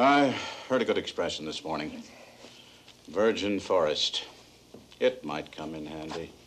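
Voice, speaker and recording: A weary-toned man speaks at a fairly slow pace, leaving long, frequent pauses. His loudness swings widely. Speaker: actor playing a writer character. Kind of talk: theatrical play performance. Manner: weary, reflective, stagey.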